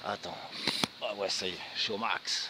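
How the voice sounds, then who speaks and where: Noticeable background noise runs under a man's fairly slow speech. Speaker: bushcraft vlogger. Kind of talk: outdoor vlog walkthrough. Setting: outdoors. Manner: casual; soft-spoken.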